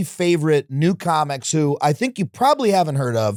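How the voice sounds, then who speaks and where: Close and dry with no echo, the recording captures a man with a fairly high pitch at a moderate pace in an ordinary speaking voice. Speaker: podcast host. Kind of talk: podcast intro.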